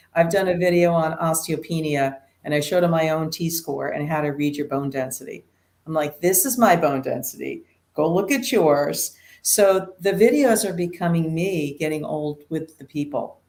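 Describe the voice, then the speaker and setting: Her voice is very deep and low for a woman, with ordinary pitch variation. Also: moderate pace. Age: 60s. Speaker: nurse practitioner. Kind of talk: interview. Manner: animated.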